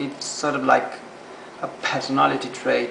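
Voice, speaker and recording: A man's voice with noticeable background noise. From Argentina. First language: Spanish. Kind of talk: casual talk to camera. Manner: stuttering, hesitant.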